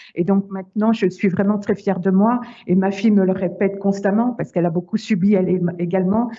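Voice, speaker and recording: A woman talks at a fairly quick pace and a medium pitch. Her intonation is monotone and flat, and her loudness very even. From Paris. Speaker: survivor of domestic violence. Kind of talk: testimony. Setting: video call. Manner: halting, many repetitions.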